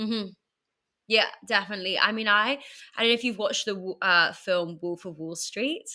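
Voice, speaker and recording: A woman's medium-pitched voice in a British accent, bright and sharp in tone, moderate in pace, with ordinary pitch variation on a very clean recording with a silent background. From England, London. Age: 30s. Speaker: entrepreneur and podcaster. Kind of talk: podcast interview.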